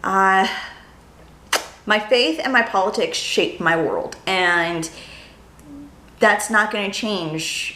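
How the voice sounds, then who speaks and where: In an American accent, a woman of medium pitch with ordinary pitch variation talks at a very slow pace with long, frequent pauses, and audible room echo. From California. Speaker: YouTuber, lifestyle blogger. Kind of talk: casual vlog monologue. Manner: rambling, hesitant with fillers.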